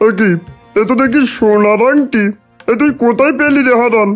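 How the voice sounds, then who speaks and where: A cartoonish character voice moves at a moderate pace over faint music in the background. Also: man, extremely high pitch for a man. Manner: wheedling, bargaining.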